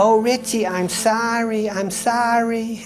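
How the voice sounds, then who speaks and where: In a put-on character voice, the speaker whines at a fairly high pitch and fairly slow pace, with clear background noise behind. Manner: apologetic, pleading.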